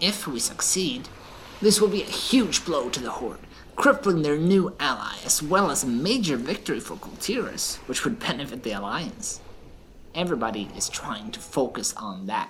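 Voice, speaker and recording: Over clear background noise, a put-on character voice at a middle pitch swings very widely in pitch at a moderate pace. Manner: calm, wry, worldly.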